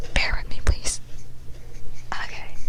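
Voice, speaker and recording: The voice is a whisper. Clear background noise sits under it. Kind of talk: ASMR whispered book reading. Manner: whispered.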